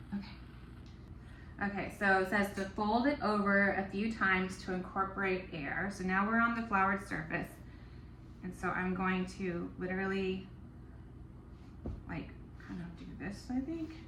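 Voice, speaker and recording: Mumbling at a moderate pace, a woman with a medium pitch and ordinary pitch variation leaves long, frequent pauses, with audible room echo around her. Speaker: home baker, baking vlogger. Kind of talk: casual baking tutorial vlog. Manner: alternates too loud and too quiet.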